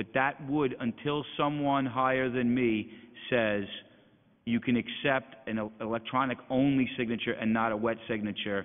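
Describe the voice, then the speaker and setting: In an unremarkable speaking voice, a man talks at a moderate pace with a medium pitch and fairly even intonation. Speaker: elections agency executive director. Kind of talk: budget hearing testimony.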